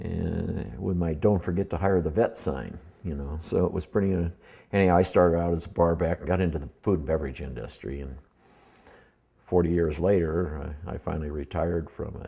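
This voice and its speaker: In an American accent, a man talks at a fairly quick pace with a very deep, low pitch and ordinary pitch variation. His dark, mellow tone carries vocal fry. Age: 60s. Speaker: war veteran. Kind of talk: personal life-story interview. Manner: halting, many fillers.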